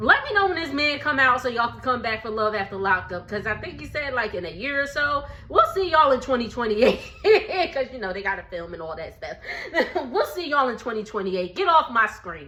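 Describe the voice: A woman at a fairly high pitch, bright and sharp in tone, with big pitch swings, a moderate pace and audible room echo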